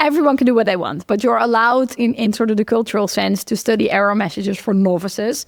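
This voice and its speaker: A woman with a Dutch accent speaks at a very fast pace, her fairly high voice carrying vocal fry. Her pitch varies in an ordinary way. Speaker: computer science researcher. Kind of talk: casual interview conversation.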